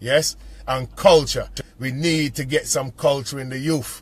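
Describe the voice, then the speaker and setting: This man's voice sits fairly high and sounds somewhat breathy. His tone is animated, with ordinary pitch variation. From West Indies. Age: 50s. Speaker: cab driver and community voice. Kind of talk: impassioned monologue to camera.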